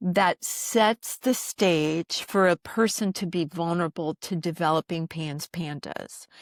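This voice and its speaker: In an American accent, a woman with an unremarkable speaking voice talks at a fairly slow pace with hardly any pauses, her fairly low pitch showing ordinary variation, captured dry and close with no echo on a very clean recording against a silent background. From US, military family moving around. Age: 60s. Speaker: doctor. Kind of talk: podcast interview.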